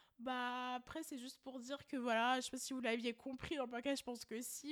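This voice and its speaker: A woman speaks in a high pitch with a monotone, flat intonation. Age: 20s. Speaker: podcast co-host. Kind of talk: casual chat.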